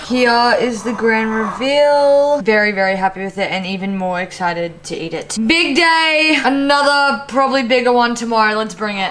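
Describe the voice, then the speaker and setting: Lively intonation from a woman with an Australian accent, hardly any pauses, noticeable background noise behind her. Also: fairly high pitch for a woman, moderate pace. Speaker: vlogger and college athlete. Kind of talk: casual vlog narration. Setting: outdoors.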